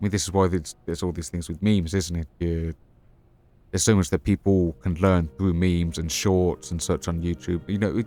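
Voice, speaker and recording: Over a silent background in a very clean recording, a man with a very deep, low pitch and a dark, mellow tone speaks at a fairly quick pace with fairly even intonation. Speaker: gaming streamer. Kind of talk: live gameplay stream chat. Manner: halting.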